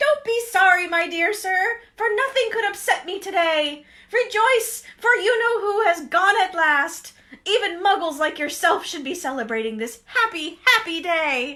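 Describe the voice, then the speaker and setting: A woman performs a squeaky, put-on character voice at an extremely high pitch with very wide pitch swings. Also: moderate pace. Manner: joyful, exuberant.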